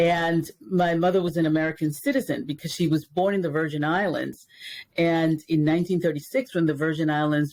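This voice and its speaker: Keeping a very even loudness, a woman talks at a fairly quick pace and a fairly low pitch. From Dominican Republic, raised in New York. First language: Spanish. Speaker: race educator. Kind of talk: interview. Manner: many fillers and repetitions.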